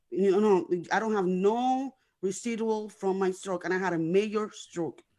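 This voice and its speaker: Speaking with a non-native accent, a woman uses a dark, mellow tone at medium pitch, with a moderate pace and ordinary pitch variation. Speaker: guest sharing life story. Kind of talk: testimony. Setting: internet radio show. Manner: words sometimes run together; repetitive, halting.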